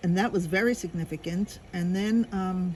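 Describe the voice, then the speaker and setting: Here a woman with an American accent talks at a medium pitch. Her voice is somewhat breathy, with ordinary pitch variation. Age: 70s. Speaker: interviewee. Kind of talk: interview.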